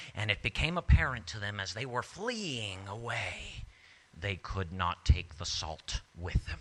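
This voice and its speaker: Recorded very cleanly against a silent background, a man speaks fairly slowly in a fairly low pitch with vocal fry, lively intonation and big swings in loudness. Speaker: storyteller and actor. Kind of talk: live storytelling performance, tall tale to an audience.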